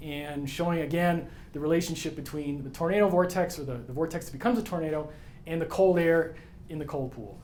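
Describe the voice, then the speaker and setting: Speaking at a fairly quick pace, a man with a fairly high pitch is heard with audible room echo and noticeable background noise. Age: 50s. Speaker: atmospheric scientist. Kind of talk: conference talk. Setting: stage with audience. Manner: fast; casual.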